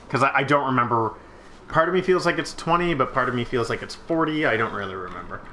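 Talking at a very fast pace with a fairly high pitch and lively intonation, a man is heard over noticeable background noise. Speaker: gaming video co-host. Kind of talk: casual gameplay chat.

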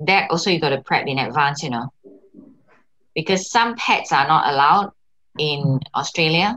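With a Singaporean accent, a woman with a very deep, low pitch speaks at a moderate pace, her lively intonation broken by long, frequent pauses. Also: quiet background. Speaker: co-host, Singaporean migrant mother. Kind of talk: casual chat. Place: home room.

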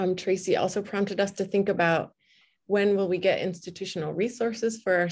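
Over a quiet background, a woman speaks at a moderate pace in a somewhat breathy voice. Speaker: librarian and event moderator; event moderator. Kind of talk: moderating an online panel event. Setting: video call. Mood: warm, engaged. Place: home room. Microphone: webcam.

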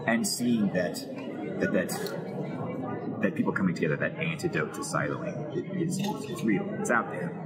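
Someone with an American accent talks at a fairly slow pace over loud background noise. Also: man. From Texas. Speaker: actor and voice actor. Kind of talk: interview answer. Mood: thoughtful, warm. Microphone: lapel.

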